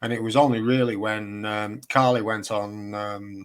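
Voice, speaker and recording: With a Lancashire accent, this man talks at a fairly low pitch and keeps his intonation fairly even. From northern England, Chorley, Lancashire. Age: 50s. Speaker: independent researcher, builder. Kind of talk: casual chat.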